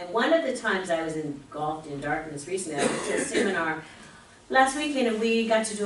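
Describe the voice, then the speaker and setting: Over noticeable background noise and audible room echo, a woman talks at a very fast pace with lively intonation. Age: 60s. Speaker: spiritual speaker. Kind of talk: sermon.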